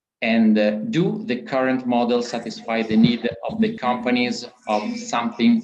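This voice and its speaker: A man speaks in an Italian accent at a very slow pace with lively intonation. Audible room echo surrounds his voice. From Italy. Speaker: panel moderator. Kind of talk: conference panel moderation. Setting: video conference. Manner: halting.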